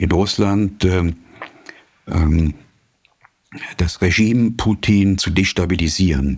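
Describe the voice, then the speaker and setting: A man's very deep, low-pitched voice with fairly even intonation. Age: 60s. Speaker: journalist and author. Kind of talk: interview. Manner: frequent hesitations (äh, ähm).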